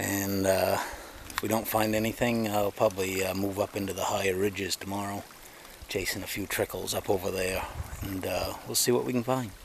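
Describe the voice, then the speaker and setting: With light background noise and a dry sound with no echo, a man speaks in a plain, everyday voice at a fairly low pitch, using fairly even intonation and a fairly quick pace. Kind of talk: casual vlog chat. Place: forest. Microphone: phone near.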